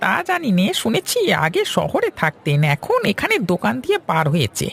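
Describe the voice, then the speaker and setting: Using a cartoonish character voice, a man speaks at a moderate pace. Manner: easygoing, folksy.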